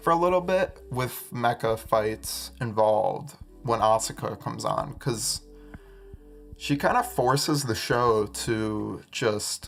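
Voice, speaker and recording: With music playing in the background, the words come at a very slow pace. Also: man. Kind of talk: casual podcast ramble. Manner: stuttering, hesitant.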